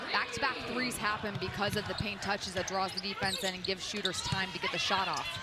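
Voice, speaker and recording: A woman talks at a very fast pace with hardly any pauses and ordinary pitch variation. Noticeable background noise and audible room echo surround her voice. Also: medium pitch for a woman. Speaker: color commentator. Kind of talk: live commentary. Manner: fast, occasionally stumbling.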